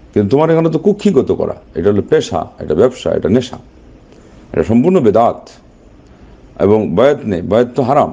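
The voice has a dark, mellow tone. It moves at a fairly quick pace. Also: man.

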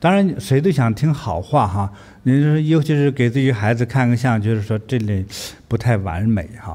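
A man speaks at a moderate pace in a dark, mellow tone. His intonation is lively. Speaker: spiritual teacher. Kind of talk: livestream talk. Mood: calm, warm. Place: studio. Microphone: studio mic.

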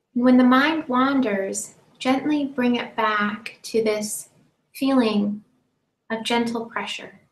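A woman speaks at a very slow pace with a high pitch. Audible room echo surrounds her voice. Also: ordinary pitch variation. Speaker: meditation teacher. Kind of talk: guided meditation. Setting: live-streamed online session. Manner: slow, calm, soothing, with long pauses between gentle instructions; soft-spoken. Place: home room. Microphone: webcam.

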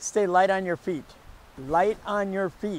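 The speech is fairly slow. The sound is dry with no echo. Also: man. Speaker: pickleball coach. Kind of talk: tutorial. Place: stadium.

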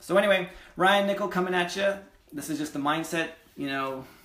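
In a room with audible echo, a man talks in an energetic tone with ordinary pitch variation. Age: 20s. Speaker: real estate investor and vlogger; real estate investor vlogger. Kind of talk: casual vlog monologue. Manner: energetic, conversational; hesitant, many fillers. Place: home room. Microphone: webcam.

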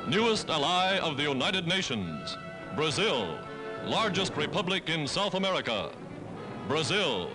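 Clear music plays in the background as the speaker goes at a moderate pace. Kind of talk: newsreel narration. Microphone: old recording.

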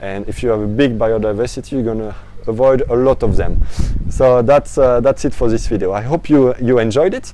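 A man with a French accent speaks at a fairly quick pace and fairly even intonation, in a dry sound with no echo and light background noise. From France. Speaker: aquaponics educator. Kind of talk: tutorial. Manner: halting, many fillers. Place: garden. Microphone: lapel.

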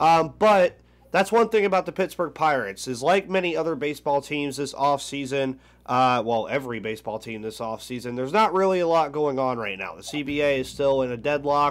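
A man speaks at a fairly quick pace with a fairly high pitch and lively intonation. His loudness swings widely, and the tone is upbeat. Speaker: sports podcast host. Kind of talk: casual sports talk. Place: home room. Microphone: headset.

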